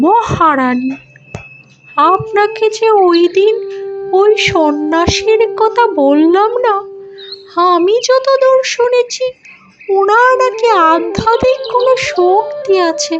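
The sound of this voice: A cartoonish character voice at an extremely high pitch and a very slow pace plays over faint music in the background.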